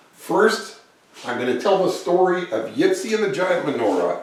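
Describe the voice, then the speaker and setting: Very slow male speech against noticeable background noise. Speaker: children's book author and illustrator. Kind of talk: casual talk to an audience, introducing the session.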